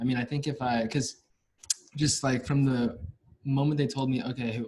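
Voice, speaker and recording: A somewhat breathy man with an American accent, medium pitch, a dark, mellow tone and a moderate pace. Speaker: university student who stutters. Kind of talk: interview conversation. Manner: stuttering.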